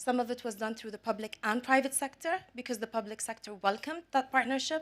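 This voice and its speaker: Speaking at a fairly quick pace with an Arabic accent, a woman uses a high pitch and ordinary pitch variation. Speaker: business executive and panelist. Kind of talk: panel discussion.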